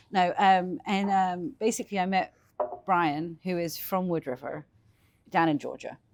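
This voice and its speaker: Speaking with an English accent, a woman uses a medium pitch and ordinary pitch variation at a fairly slow pace, on a very clean recording with a silent background. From England, London. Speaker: small business owner. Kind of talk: casual interview.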